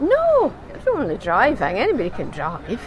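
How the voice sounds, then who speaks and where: Background noise is noticeable here. The voice belongs to a woman. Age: 70s. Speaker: rally participant. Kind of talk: interview.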